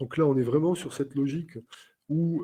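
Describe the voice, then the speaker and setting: Fairly high in pitch, a man's dark, mellow voice moves at a moderate pace. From southern France, Carcassonne. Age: 50s. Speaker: airline captain and trainer. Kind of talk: webinar interview. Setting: online webinar.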